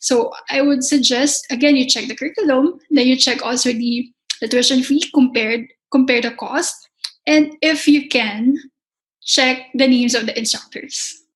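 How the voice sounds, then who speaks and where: Fairly even intonation in a Filipino accent, at a moderate pace. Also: woman, high pitch for a woman. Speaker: pastry chef and culinary instructor. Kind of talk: interview.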